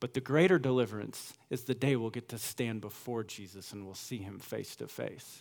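A man in an ordinary speaking voice, medium in pitch with ordinary pitch variation, at a moderate pace with hardly any pauses and big swings in loudness. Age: 30s. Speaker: pastor. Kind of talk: sermon. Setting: church.

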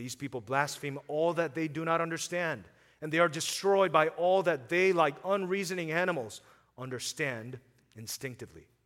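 On a very clean recording with a silent background, a man speaks in an ordinary speaking voice at a fairly high pitch and moderate pace, with ordinary pitch variation and big swings in loudness. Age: 30s. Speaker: pastor. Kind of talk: sermon.

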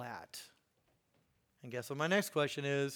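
Recorded very cleanly against a silent background, a man speaks with a Midwestern American accent. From US Midwest, Indiana. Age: 50s. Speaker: guest preacher. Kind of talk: sermon.

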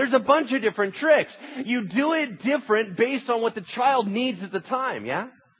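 A man speaks at a fairly quick pace in an extremely high voice with ordinary pitch variation, over noticeable background noise. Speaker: pastor. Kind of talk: sermon. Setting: church.

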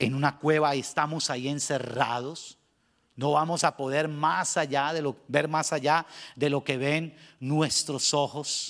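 A plain, everyday voice from a man, fairly high in pitch, with fairly even intonation. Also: fairly slow pace. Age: 50s. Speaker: pastor. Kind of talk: sermon.

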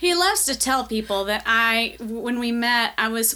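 The woman speaks in a Southern US accent, her fairly high voice carrying a bright, sharp tone. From US South, Nashville, Tennessee. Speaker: church member and artist. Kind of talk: interview.

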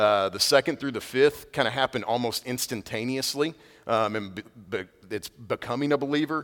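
Lively intonation marks a man's ordinary speaking voice. He talks at a moderate pace. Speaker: pastor. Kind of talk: sermon. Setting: church with congregation. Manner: casual, conversational.

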